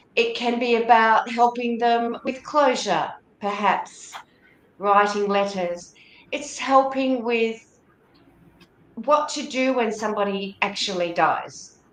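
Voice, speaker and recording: A woman's fairly high voice with ordinary pitch variation, at a very slow pace with long, frequent pauses over noticeable background noise. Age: 60s. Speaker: death doula. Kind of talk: interview.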